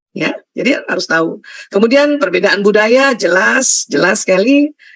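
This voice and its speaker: A woman's lively intonation, with a dry, close sound and no echo. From Indonesia, Bugis heritage (South Sulawesi). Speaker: Islamic lecturer, doctor. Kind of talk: religious lecture.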